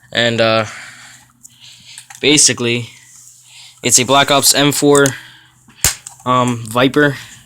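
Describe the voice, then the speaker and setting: Very slow, monotone delivery with flat intonation, very even loudness and long, frequent pauses, over noticeable background noise. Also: man, medium pitch for a man. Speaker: airsoft gun reviewer. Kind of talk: casual product review. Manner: halting, many fillers.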